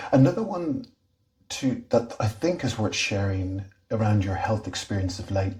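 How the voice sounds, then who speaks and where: Somewhat breathy and fairly slow, the voice moves with lively intonation, broken by long, frequent pauses. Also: man. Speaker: interviewer and series host. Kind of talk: interview questions.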